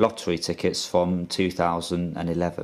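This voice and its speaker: A man speaks with a British accent. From UK. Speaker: YouTuber. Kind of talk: casual video monologue. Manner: hesitant, with fillers. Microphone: phone near.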